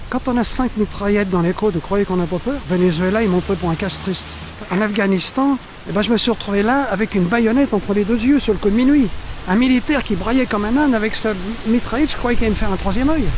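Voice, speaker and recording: Over noticeable background noise, a man talks at a very fast pace with a high pitch. His loudness stays very even and his pitch varies in an ordinary way. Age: 80s+. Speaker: world traveler. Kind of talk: interview storytelling.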